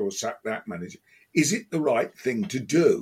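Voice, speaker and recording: With an English accent, a man speaks with vocal fry and very wide pitch swings. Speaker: football podcast co-host. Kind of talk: casual chat.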